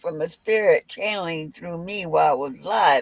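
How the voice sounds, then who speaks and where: A woman talks at a medium pitch in a dry, close sound with no echo. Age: 60s. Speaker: psychic medium. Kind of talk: casual chat.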